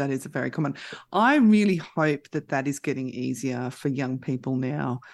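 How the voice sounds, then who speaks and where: A woman speaks with an Australian accent in a very deep, low pitch. The recording is very clean, with a silent background. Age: 50s. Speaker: mental health services manager. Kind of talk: radio interview.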